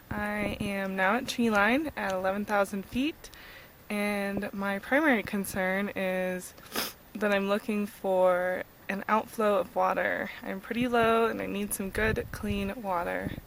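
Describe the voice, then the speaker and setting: A woman with an American accent, fairly slow and fairly even in intonation, over noticeable background noise. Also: medium pitch for a woman. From California. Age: 20s. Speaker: backpacker vlogger. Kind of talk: video diary. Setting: outdoors.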